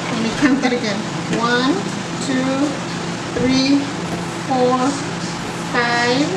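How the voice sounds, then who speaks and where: A woman speaks at a very slow pace over loud background noise. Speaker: food challenge vlogger. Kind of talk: casual vlog chat. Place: home room. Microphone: camera far.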